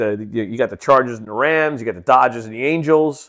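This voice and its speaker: Medium-pitched male voice with ordinary pitch variation on a very clean recording with a silent background. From New York. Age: 40s. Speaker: podcast host. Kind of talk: solo monologue. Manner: halting, many fillers.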